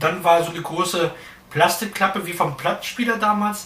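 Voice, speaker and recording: A man talks fairly quickly amid noticeable background noise, and audible room echo colors the sound. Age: 30s. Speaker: podcast host. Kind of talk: casual chat.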